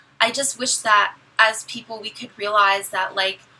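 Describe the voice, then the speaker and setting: Noticeable background noise sits behind a woman speaking. Her pitch is fairly high and her pace moderate. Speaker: beauty vlogger. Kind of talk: casual chat. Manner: loud.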